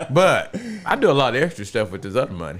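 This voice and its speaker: There is noticeable background noise as a man speaks in an American accent. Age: 60s. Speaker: retired air conditioning repairman. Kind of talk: casual chat. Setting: home man cave.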